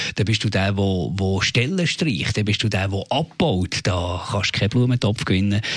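Somewhat breathy and fairly low in pitch, a man speaks at a moderate pace with hardly any pauses. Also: ordinary pitch variation, very even loudness. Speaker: radio host. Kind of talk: casual chat.

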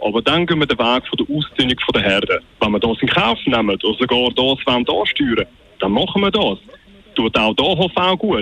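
A man in a Swiss accent at a moderate pace and medium pitch, with very wide pitch swings, very even loudness and noticeable background noise. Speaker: radio caller. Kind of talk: call-in talk radio. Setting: phone call.

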